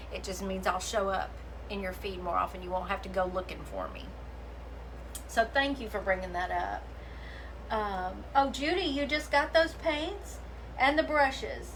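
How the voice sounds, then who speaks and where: A woman with a Southern US accent at a moderate pace, long, frequent pauses and big swings in loudness, amid noticeable background noise and audible room echo. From US South, Memphis, Tennessee. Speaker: craft painter and livestream host. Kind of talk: casual livestream chat and craft demo. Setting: live video stream. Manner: animated.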